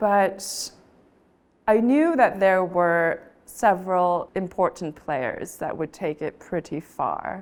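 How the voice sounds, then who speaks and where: On a very clean recording with a silent background, a woman speaks in an American accent at a medium pitch. Her pace is very slow, with ordinary pitch variation. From Taiwanese American. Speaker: auctioneer. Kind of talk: interview answer.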